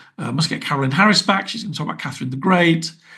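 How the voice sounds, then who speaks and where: A man with a British accent. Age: 60s. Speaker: podcast host, writer and TV producer. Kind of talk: podcast outro monologue. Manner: casual, chatty with fillers.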